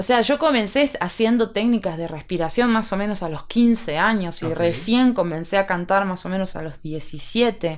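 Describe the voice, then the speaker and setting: A woman's medium-pitched, plain, everyday voice with lively intonation, at a moderate pace with hardly any pauses. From Salta, northwestern Argentina. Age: 30s. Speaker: opera singer. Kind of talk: casual chat.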